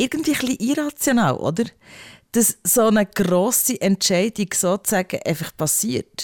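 A woman talks at a moderate pace in an unremarkable speaking voice with lively intonation. The recording is very clean with a silent background and a dry, close sound with no echo. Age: 40s. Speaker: podcast host. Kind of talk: casual chat.

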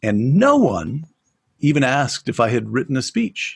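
A somewhat breathy man speaks at a moderate pace against a quiet background. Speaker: former speechwriter. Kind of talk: interview.

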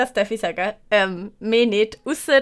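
A woman speaks at a fairly slow pace with a bright, sharp, animated tone and a Swiss accent. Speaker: podcast host. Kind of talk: casual chat.

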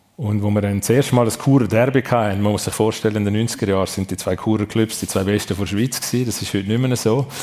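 Over noticeable background noise, a man with a fairly low pitch talks at a very fast pace with fairly even intonation and hardly any pauses. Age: 50s. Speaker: sports and tourism executive. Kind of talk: live radio talk show interview. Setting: restaurant event venue with live audience.

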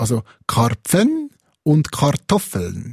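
A man speaks with a Swiss accent. His fairly high voice is somewhat breathy. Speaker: podcast co-host. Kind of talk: casual chat podcast.

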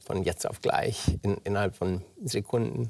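A man with vocal fry speaks fairly slowly in a fairly low pitch with ordinary pitch variation, on a very clean recording with a silent background. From Germany. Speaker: oncologist and author. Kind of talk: interview. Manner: halting, many fillers.

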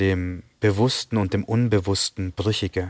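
A man speaks in a normal speaking voice with a fairly low pitch and fairly even intonation. The recording is very clean with a silent background, and the sound is dry and close with no echo. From Bavaria, Germany (Sri Lankan Tamil family). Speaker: novelist. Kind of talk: interview. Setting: TV studio.

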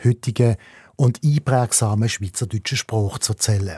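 This man has a Swiss accent and a dark, mellow, somewhat breathy tone. He talks at a moderate pace with ordinary pitch variation, and the recording is very clean and dry, close with no echo, over a silent background. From Switzerland. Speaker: radio host. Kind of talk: casual chat.

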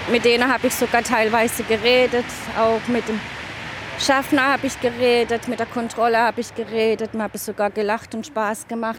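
Against noticeable background noise, a woman with a strong southern German accent speaks at a moderate pace, her fairly high pitch flat and monotone. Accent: broad southern German dialect. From south-west Germany, Offenburg (Baden). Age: 40s. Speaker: interviewee, partner of a migrant. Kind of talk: interview testimony.

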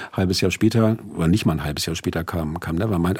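Talking at a very fast pace, a man uses lively intonation with vocal fry. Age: 50s. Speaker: author and music critic. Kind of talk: radio interview. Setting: studio.

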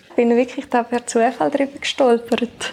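A woman speaks at a moderate pace with a fairly high pitch. Her intonation stays fairly even over noticeable background noise. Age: 20s. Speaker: podcast co-host, new team member. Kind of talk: casual chat. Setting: at home, dining table.

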